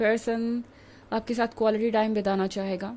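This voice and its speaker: On a very clean recording with a silent background, the speech moves fairly slowly in a flat monotone. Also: woman. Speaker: tarot reader. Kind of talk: tarot reading. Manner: hesitant fillers (um, uh).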